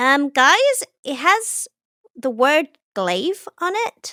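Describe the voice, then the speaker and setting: Using a put-on character voice, a woman speaks high in pitch at a very slow pace. Her pitch swings very widely. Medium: actual play.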